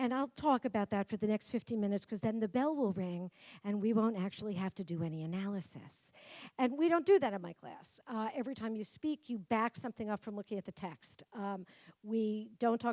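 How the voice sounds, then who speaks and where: Talking at a very fast pace, a woman with a Brooklyn accent and a dark, mellow tone shows big swings in loudness and ordinary pitch variation in a dry, close recording with no echo. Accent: New York (Brooklyn). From Brooklyn, New York. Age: 50s. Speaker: professor. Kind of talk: keynote speech.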